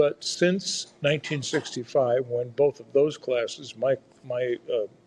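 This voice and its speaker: With a Midwestern American accent, a man speaks very slowly, his somewhat breathy voice fairly high in pitch and fairly even in intonation. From rural Iowa. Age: 70s. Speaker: federal judge. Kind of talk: casual interview chat. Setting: podcast interview.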